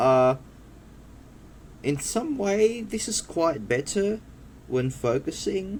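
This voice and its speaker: Pausing long and often, a man talks at a very slow pace in a high pitch that swings very widely. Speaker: tech youtuber reviewing own phones. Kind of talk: casual video tutorial. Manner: halting, with stutters and fillers.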